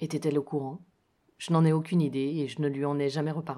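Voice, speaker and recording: Recorded very cleanly against a silent background, a woman speaks with a very deep, low pitch and a dark, mellow tone. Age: 40s. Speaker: podcaster sharing personal life story. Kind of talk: personal storytelling, read from a written text.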